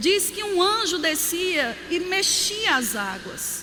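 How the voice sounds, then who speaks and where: With a Paraíba accent, a raised, projected voice carries an animated tone over noticeable background noise and audible room echo. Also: woman. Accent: Northeastern Brazilian (Paraíba). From Brazil, Campina Grande (Paraíba, Northeast). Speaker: pastor. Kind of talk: sermon.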